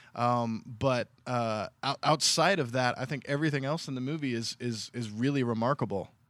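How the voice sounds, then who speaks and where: A man with an ordinary speaking voice talks at a moderate pace and medium pitch, with ordinary pitch variation and hardly any pauses, in a very clean, dry, close recording with no echo and a silent background. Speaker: film podcast co-host. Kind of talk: casual film discussion.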